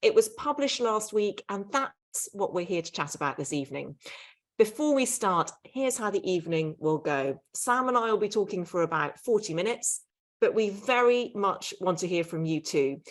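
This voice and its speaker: Speaking with a British accent at a moderate pace, a woman uses a medium pitch with very wide pitch swings. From Britain. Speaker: author and podcast host. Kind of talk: live event interview. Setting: livestreamed online event.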